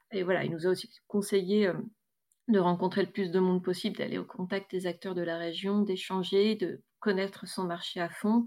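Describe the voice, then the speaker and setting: On a very clean recording with a silent background, a woman with a dark, mellow tone speaks at medium pitch and moderate pace in a monotone, flat intonation. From northern France, Roubaix area. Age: 30s. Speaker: eco grocery store co-owner. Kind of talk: testimony. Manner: hesitant, many fillers.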